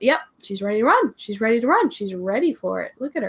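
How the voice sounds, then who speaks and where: A woman talks at a fairly quick pace with a fairly high pitch. Her tone is animated and her intonation lively. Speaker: English teacher and video creator. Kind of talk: casual livestream chat. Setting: livestream from home.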